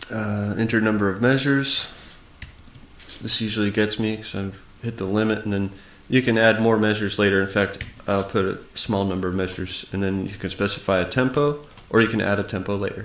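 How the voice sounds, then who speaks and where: Fairly quick delivery with fairly even intonation and audible room echo. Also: man, fairly low pitch for a man. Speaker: music software tutor. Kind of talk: tutorial. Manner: casual with frequent fillers.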